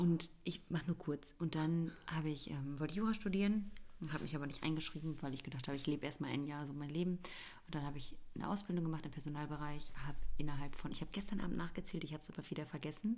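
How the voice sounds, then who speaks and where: Very fast delivery from a woman, pitched very deep and low. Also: ordinary pitch variation. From Bavaria, Germany. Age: 20s. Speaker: podcast co-host, mother. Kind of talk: casual chat.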